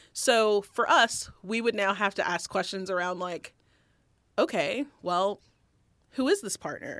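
Fairly slow speech from a woman at medium pitch in a normal speaking voice, very cleanly recorded against a silent background. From US South. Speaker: diversity and inclusion director. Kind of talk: casual chat.

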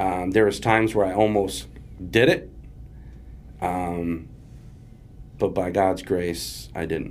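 With an American accent, this speaker talks at a very slow pace, with lively intonation and long, frequent pauses. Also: man, very deep, low pitch for a man. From Springfield, Massachusetts. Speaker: person in addiction recovery. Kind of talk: testimony. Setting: studio.

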